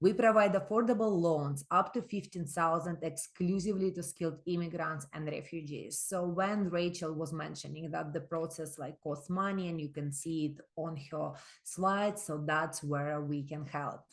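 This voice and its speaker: This is an unremarkable speaking voice with ordinary pitch variation. The pace is moderate. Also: woman, fairly low pitch for a woman, quiet background. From immigrant to Canada. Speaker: microlending organization representative. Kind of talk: webinar presentation.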